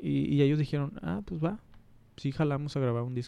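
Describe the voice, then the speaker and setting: A man with a northern Mexican accent talks at a moderate pace in a dark, mellow tone. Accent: northern Mexican Spanish (Monterrey). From Monterrey, Mexico. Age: 30s. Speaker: photographer. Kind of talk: casual chat. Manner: halting.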